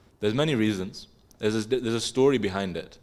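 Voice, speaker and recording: Speaking at a fairly quick pace with an English accent, a man uses fairly low pitch with ordinary variation. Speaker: religious class teacher. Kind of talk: religious class discussion. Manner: casual, conversational with filler words.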